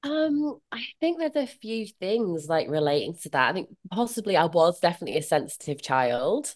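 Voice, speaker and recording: Against a quiet background, a woman with a Yorkshire accent talks at a moderate pace in a fairly low voice that makes very wide pitch swings. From northern England, Leeds. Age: 40s. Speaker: comparison coach. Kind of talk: interview.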